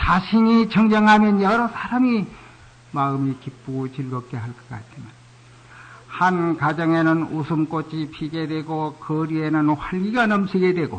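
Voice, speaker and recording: Fairly high in pitch, this man has an ordinary speaking voice and lively intonation. He talks at a fairly slow pace, and his loudness swings widely. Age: 60s. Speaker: Buddhist monk. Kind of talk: sermon.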